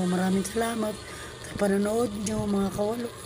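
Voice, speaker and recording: A woman speaks at a medium pitch in a monotone, flat intonation. Music plays in the background. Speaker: cooking vlogger. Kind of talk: cooking vlog. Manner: halting; casual.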